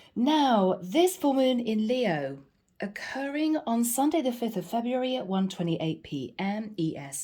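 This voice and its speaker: A woman speaks at a moderate pace in a fairly high, dark and mellow voice that is somewhat breathy. Her pitch swings very widely, and the recording is very clean with a silent background. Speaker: tarot reader. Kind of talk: astrology reading. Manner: casual, direct address.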